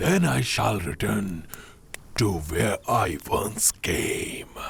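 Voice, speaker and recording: A put-on character voice moves at a very slow pace over light background noise. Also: man. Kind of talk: solemn period-drama dubbing. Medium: fan dub. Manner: measured, formal, grave.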